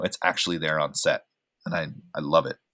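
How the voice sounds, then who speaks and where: On a very clean recording with a silent background, a man with a General American accent talks at a fairly quick pace. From Oregon, US. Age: 30s. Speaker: actor and filmmaker. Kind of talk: casual chat.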